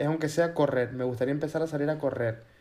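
The voice is a man's. Noticeable noise fills the background. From Canary Islands (Gran Canaria). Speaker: podcast co-host. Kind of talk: casual chat.

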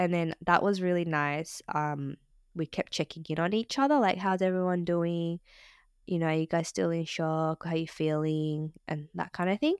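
With an Australian accent, a woman speaks at a fairly low pitch in a dry, close recording with no echo, very clean and with a silent background. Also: fairly even intonation, moderate pace. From Australia, Sydney. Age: 30s. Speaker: podcast co-host, content professional. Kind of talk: casual interview chat.

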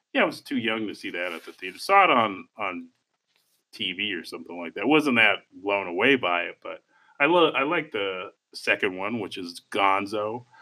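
A man speaks at a moderate pace in fairly low pitch, using an ordinary speaking voice with lively intonation and big swings in loudness. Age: 30s. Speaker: film podcast co-host. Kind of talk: casual chat.

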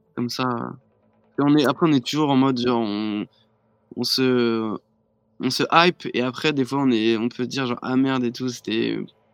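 With long, frequent pauses, a man speaks at a moderate pace in a medium-pitched voice with fairly even intonation. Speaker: DJ and music producer. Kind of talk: casual live-stream interview.

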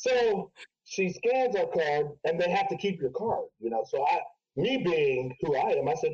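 A man's high voice at a fairly slow pace, with very wide pitch swings and very even loudness. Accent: American. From Ohio, US Midwest. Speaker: DJ and personal trainer. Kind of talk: casual chat.

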